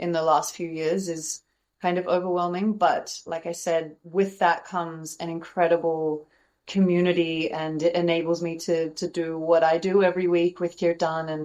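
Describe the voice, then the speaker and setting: In an Australian accent, the speaker talks at a moderate pace with monotone, flat intonation. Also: woman. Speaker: kirtan singer and yoga teacher. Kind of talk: interview.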